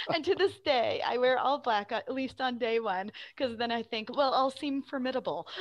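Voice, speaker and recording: Against a quiet background, a woman with an American accent speaks at a moderate pace in a high voice. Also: ordinary pitch variation. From Arizona, Phoenix area. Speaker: theater director. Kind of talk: interview. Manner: hesitant with fillers.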